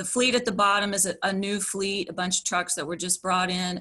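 Against a quiet background, a woman with an American accent talks at a moderate pace and medium pitch, her tone bright and sharp and her intonation monotone and flat. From West Virginia (Upshur County); West Virginia. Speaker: environmental activist; witness. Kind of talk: prepared testimony presentation. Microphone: video call.

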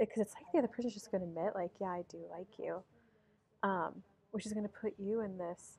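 Very fast delivery in a dark, mellow tone with fairly even intonation. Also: woman. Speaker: tarot reader. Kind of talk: tarot reading commentary. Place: cafe.

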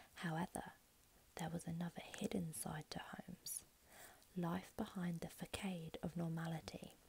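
A soft-spoken woman talks at a moderate pace with a somewhat breathy, fairly low voice. Her intonation stays fairly even. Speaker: ASMR creator. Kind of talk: true crime narration, ASMR. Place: home room. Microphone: earbuds.

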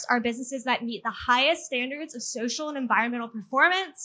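A woman speaks in a raised, projected voice. Her tone is bright and sharp, and her pace fairly quick. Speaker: speaker. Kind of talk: public talk. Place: garden. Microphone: handheld.

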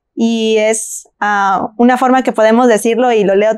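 Against a quiet background, a woman talks with a Mexican accent. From Mexico, Celaya, Guanajuato; Guanajuato, Mexico. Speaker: panel discussant. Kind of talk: Bible study discussion; Bible study panel discussion. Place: studio.

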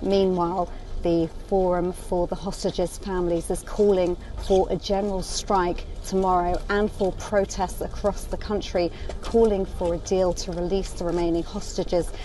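At a moderate pace, a woman speaks in a monotone, flat intonation, with a dry sound that has no echo and light background noise. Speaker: news correspondent. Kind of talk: field news report. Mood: somber. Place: street. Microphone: phone near.

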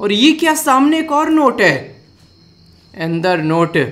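This is a man speaking. His intonation is lively. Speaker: reaction video host. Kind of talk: reaction commentary. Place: home room.

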